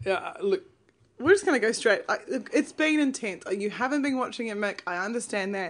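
Animated in tone, a woman with a fairly high voice speaks at a fairly quick pace, her pitch swinging very widely over a quiet background. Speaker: podcast co-host, TV show commentator. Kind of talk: casual chat, comedic recap podcast. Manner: joking, animated, laughs often.

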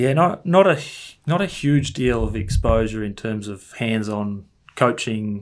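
Here is a man with an Australian accent. His pitch is fairly low. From Melbourne outer east, Australia. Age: 30s. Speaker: football coach. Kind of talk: interview. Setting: video call. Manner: halting, many fillers and repeats.

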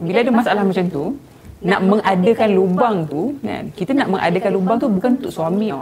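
Noticeable background noise behind a woman at medium pitch, moderate in pace, with ordinary pitch variation. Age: 30s. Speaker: interviewee sharing personal health story. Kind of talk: interview, personal testimony.

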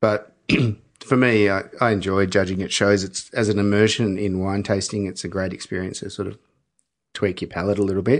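With an Australian accent, a man speaks fairly quickly at a fairly low pitch in a monotone, flat delivery. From Melbourne, Australia. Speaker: winemaker. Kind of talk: casual chat. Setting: studio.

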